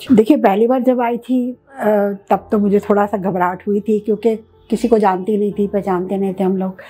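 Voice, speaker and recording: Fairly even intonation marks this woman's speech. She talks at a moderate pace. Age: 60s. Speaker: cataract surgery patient. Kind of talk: patient testimonial. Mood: calm, pleased. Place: office. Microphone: lapel.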